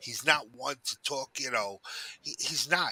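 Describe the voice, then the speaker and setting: Loud and close, a man with a bright, sharp tone and fairly high pitch talks at a moderate pace with ordinary pitch variation, the sound dry with no echo. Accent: New York. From New York City. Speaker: caller. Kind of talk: heated debate. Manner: animated.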